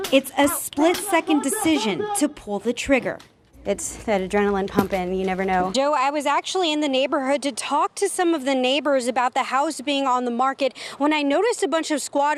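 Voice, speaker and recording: An upbeat, energetic woman's voice, high in pitch, with hardly any pauses and music in the background. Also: fairly quick pace. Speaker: TV news reporter and anchor. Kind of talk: TV news reporter delivery. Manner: upbeat, energetic live stand-up reporting.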